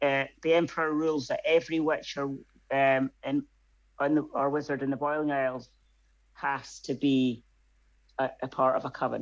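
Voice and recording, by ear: A man talks at a moderate pace with a medium pitch. His pitch moves very little.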